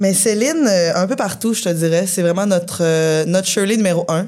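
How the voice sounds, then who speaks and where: With fairly even intonation, a normal speaking voice moves along fairly quickly. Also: woman. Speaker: punk rock musician. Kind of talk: casual chat. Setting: bar with live audience.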